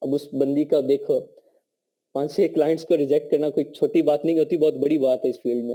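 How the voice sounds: Speaking at a fairly quick pace, a man has a fairly high pitch. His tone is dark and mellow, with fairly even intonation.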